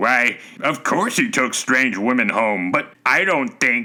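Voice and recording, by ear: A man's put-on character voice, medium in pitch, at a fairly slow pace. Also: lively intonation, very even loudness.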